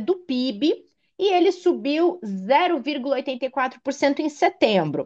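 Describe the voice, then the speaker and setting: The speaker is a woman with a high-pitched voice. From Rio Grande do Sul, Brazil. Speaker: finance show host. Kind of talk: finance talk show.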